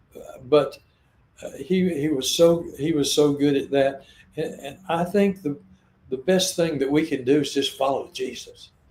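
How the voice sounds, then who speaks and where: Speaking fairly slowly with a Southern US accent, a man with a fairly high pitch keeps his intonation fairly even while his loudness swings widely. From US South, Arkansas. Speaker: missionary. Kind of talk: interview conversation. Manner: halting, repetitive.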